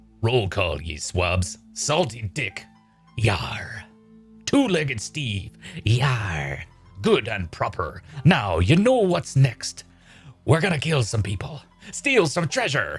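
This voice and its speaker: Using a put-on character voice at medium pitch, a man speaks at a fairly slow pace with long, frequent pauses while faint music plays in the background. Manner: gruff, theatrical.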